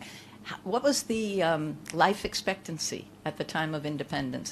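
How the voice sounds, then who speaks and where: Vocal fry with hardly any pauses. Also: woman. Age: 60s. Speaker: conference speaker. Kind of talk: keynote talk to a live audience. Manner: conversational, interacts with audience.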